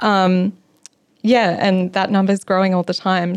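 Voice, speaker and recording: A woman speaks in a monotone, flat intonation with an Australian accent. The sound is dry and close, with no echo. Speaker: local government sustainability planner. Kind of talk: interview.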